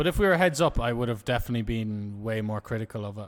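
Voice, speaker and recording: A man in a normal speaking voice, at a fairly quick pace, with lively intonation. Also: very clean recording, silent background. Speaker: poker streamer. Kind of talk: casual live stream commentary.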